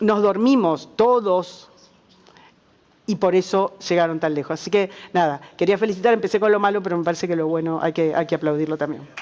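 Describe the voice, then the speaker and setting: A woman with a Rioplatense accent, medium pitch, ordinary pitch variation and a fairly quick pace. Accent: Argentine Spanish (rioplatense). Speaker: journalist, panelist. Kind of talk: panel discussion.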